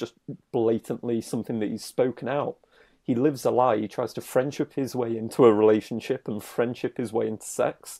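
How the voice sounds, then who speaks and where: A man with a British accent speaks at a moderate pace in a medium pitch and a dark, mellow tone. The sound is dry and close with no echo, in a very clean recording with a silent background. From Britain. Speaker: dating coach. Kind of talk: casual chat.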